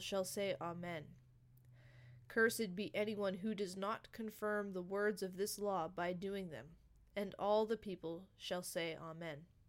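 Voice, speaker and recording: With an ordinary speaking voice, a woman talks at a fairly slow pace in a medium pitch with ordinary pitch variation. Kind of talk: solemn scripture reading aloud, cadence of a liturgical call and response. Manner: measured, weighty, rhythmic, repeating the refrain 'Amen' like a congregational response.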